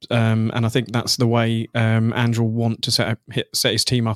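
A man with a southern English accent at a fairly quick pace and medium pitch, in a very clean, dry, close recording with a silent background and no echo. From southern England. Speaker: football website editor and Tottenham fan. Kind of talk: casual chat.

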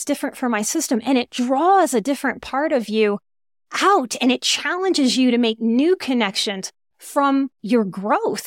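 A woman speaks at a high pitch and a moderate pace with lively intonation. The recording is very clean with a silent background and a dry, close sound with no echo. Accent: American. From US South (New Orleans). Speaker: psychotherapist and life coach. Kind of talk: casual panel conversation.

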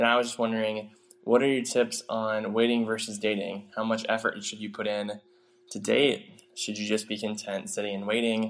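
In an American accent, a man with a fairly low voice speaks at a moderate pace in a flat monotone. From Ohio, US Midwest. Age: 20s. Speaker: listener sending a voice message. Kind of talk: recorded voice message question. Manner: halting, with fillers.

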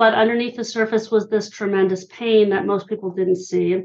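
In a normal speaking voice, a woman with an American accent talks at a moderate pace, her pitch medium with ordinary variation. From Pennsylvania (Hershey). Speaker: author and listening expert. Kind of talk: interview.

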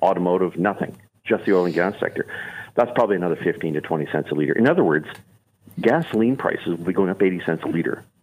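A man with a Canadian accent speaks very fast in a very deep, low voice, with ordinary pitch variation and a quiet background. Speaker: energy advocate, former politician. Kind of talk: radio interview.

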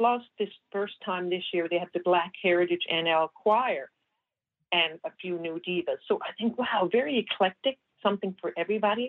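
A woman speaks at a medium pitch with a Newfoundland accent. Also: ordinary pitch variation, moderate pace. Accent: Newfoundland English, noticeable. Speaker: community reporter. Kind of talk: casual radio chat, event listings.

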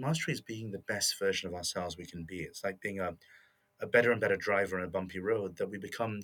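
A man talks very fast in a British accent, at a fairly low pitch with ordinary variation. The recording is very clean, with a silent background. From England. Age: 40s. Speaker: motivation expert and author. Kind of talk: interview.

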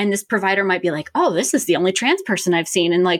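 The background is silent and the recording very clean. A woman talks in an American accent. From Richmond, Virginia. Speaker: nurse practitioner. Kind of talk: interview.

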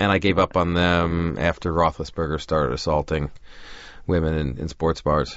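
With an American accent and vocal fry, a man talks at a moderate pace in a very deep, low voice with fairly even intonation. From New York, Long Island (Great Neck). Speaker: TV writer and producer. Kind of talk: casual interview. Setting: studio.

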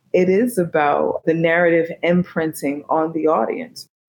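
In an American accent, a woman with a plain, everyday voice speaks at a moderate pace and a fairly low pitch. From Newark, New Jersey. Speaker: poet. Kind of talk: interview.

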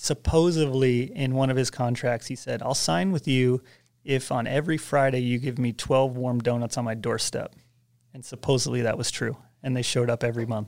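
Someone with an American accent talks in a plain, everyday voice at a fairly quick pace with fairly even intonation. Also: man, medium pitch for a man. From US Northeast, Westchester New York. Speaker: snowboard filmer and editor. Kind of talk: casual chat.

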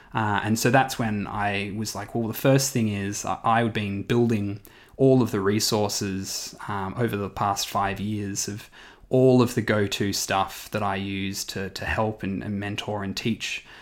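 A man with an Australian accent speaks slowly-ish at a fairly slow pace, his fairly low voice keeping a fairly even intonation on a very clean recording with a silent background. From Western Australia. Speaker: startup mentor and entrepreneur. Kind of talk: interview.

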